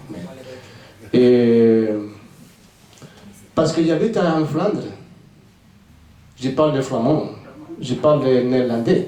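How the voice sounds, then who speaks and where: A man with a Spanish accent at a medium pitch, lively intonation, a very slow pace with long, frequent pauses, and audible room echo. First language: Spanish (speaking French). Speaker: author, former navy sailor. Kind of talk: book presentation Q&A. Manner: halting.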